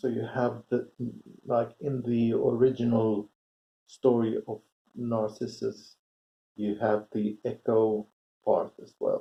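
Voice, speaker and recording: A man with a Swedish accent speaks at a medium pitch with fairly even intonation but big swings in loudness. His pace is very slow, with long, frequent pauses. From Sweden. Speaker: commentary vlogger. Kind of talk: casual monologue. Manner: halting, many fillers.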